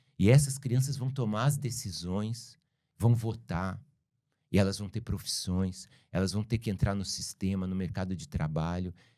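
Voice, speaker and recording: On a very clean recording with a silent background, a man speaks with a fairly low pitch and a dark, mellow tone. His pitch varies in an ordinary way at a moderate pace. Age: 60s. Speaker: filmmaker. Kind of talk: interview conversation.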